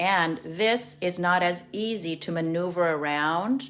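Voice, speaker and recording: The speaker is a woman. Her pitch is fairly low. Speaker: watercolor art teacher. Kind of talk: live-streamed painting tutorial. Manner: casual, chatty.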